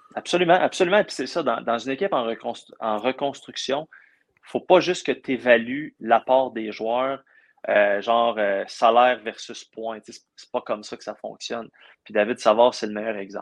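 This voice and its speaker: A man with an unremarkable speaking voice talks at a medium pitch. His loudness swings widely. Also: ordinary pitch variation, moderate pace, dry, close sound with no echo. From Quebec, Abitibi region. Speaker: sports journalist covering hockey. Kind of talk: casual interview chat.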